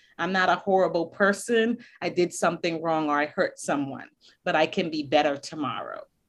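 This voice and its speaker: Speaking at a fairly quick pace in a normal speaking voice, a woman has a fairly low pitch and ordinary pitch variation. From US Northeast (Boston), born in Barbados. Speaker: school counselor. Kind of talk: interview.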